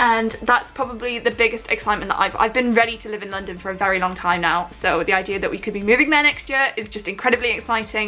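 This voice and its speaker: Noticeable background noise sits behind a woman talking at a very fast pace. Her voice is fairly high with ordinary pitch variation. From Newcastle, northeast England. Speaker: beauty vlogger. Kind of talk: makeup tutorial and Q&A. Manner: casual, chatty.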